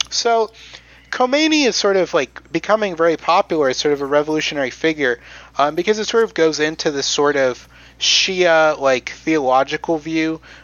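In a plain, everyday voice, a man with an American accent and fairly high pitch speaks at a moderate pace with ordinary pitch variation. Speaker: podcast host presenting history. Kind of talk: casual history storytelling with jokes. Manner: conversational, digressive, jokey.

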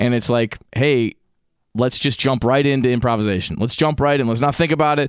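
A man's plain, everyday voice at a medium pitch and fairly quick pace, with ordinary pitch variation and very even loudness, in a very clean recording with a silent background. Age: 30s. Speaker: podcast host and musician. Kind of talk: casual interview chat.

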